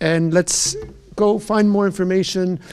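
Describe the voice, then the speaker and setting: Here a man talks. The intonation is fairly even throughout. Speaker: health organization communications staff, event host. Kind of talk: live Q&A webcast. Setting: live stream. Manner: fast.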